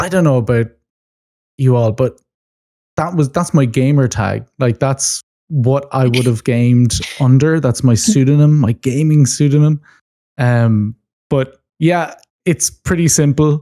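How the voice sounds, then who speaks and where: A man with an Irish accent talks at a fairly slow pace, leaving long, frequent pauses. His tone is dark and mellow, and his loudness stays very even. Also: medium pitch for a man, ordinary pitch variation, dry, close sound with no echo. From Ireland. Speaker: marine biologist and gaming content creator. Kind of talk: casual chat.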